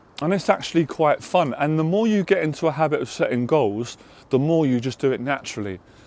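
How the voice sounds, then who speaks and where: Talking at a very fast pace, a man with a fairly high pitch for a man uses lively intonation. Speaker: life coach. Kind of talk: motivational talk to camera.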